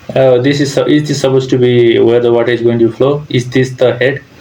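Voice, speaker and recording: Over noticeable background noise, a man with a medium pitch speaks at a fairly quick pace in a flat, monotone way. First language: not English. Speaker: civil engineer reacting to videos. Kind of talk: reaction commentary. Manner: hesitant, with fillers.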